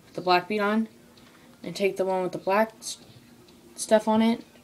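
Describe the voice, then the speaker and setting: A woman at a moderate pace with fairly even intonation over light background noise. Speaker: craft tutorial maker. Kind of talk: tutorial. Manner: halting. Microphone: phone near.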